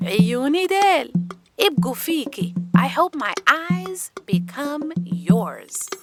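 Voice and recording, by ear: In a put-on character voice, a woman speaks slowly in a high pitch with a fairly bright tone and big pitch swings, with faint music in the background.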